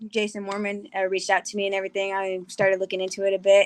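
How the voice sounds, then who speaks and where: This is an ordinary speaking voice from a woman with an American accent. Her pitch sits at a medium level. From Texas. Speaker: college wrestler. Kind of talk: casual interview.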